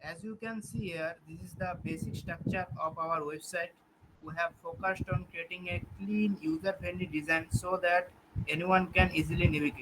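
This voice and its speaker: In a Bengali accent, the voice is quiet and moves at a moderate pace. Intonation stays fairly even while the loudness swings widely. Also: man, high pitch for a man. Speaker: student presenter. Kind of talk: product demo.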